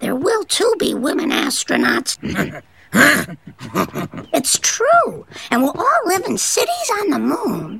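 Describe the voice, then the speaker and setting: Speaking in a put-on character voice at an extremely high pitch, this raspy, croaky delivery moves at a fairly slow pace with long, frequent pauses. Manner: earnest, insistent.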